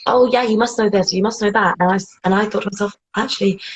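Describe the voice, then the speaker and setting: Somewhat breathy speech with a British accent and ordinary pitch variation. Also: woman. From England, Bedford. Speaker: interviewee. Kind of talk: casual interview chat.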